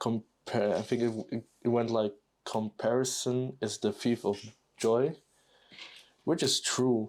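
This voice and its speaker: A man with a non-native accent speaks at a very slow pace, with long, frequent pauses and fairly even intonation. His loudness stays very even, and the recording is very clean with a silent background. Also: medium pitch for a man. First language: not English. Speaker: YouTuber building Lego and talking. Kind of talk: casual monologue while building. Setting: live recording at home. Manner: halting, many fillers.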